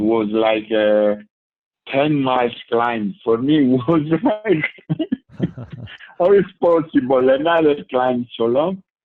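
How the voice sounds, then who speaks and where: With an Italian accent, a man talks at a very slow pace in a medium pitch, leaving long, frequent pauses. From Italy. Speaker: ultra cyclist. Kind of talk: interview answer.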